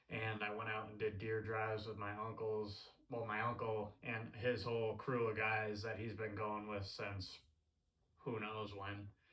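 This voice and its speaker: A man speaks fairly slowly at a fairly low pitch, with a flat, monotone delivery. His tone is bright and sharp, and room echo is audible. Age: 20s. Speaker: hunting vlogger. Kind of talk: casual monologue. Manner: halting, many fillers.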